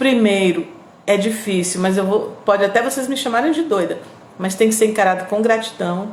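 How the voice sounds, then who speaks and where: Somewhat breathy and fairly high in pitch, a woman speaks with ordinary pitch variation amid audible room echo. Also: moderate pace. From Northeast Brazil, Piauí. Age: 50s. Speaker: radio host and online presenter. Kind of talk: live stream chat with viewers. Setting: live video stream.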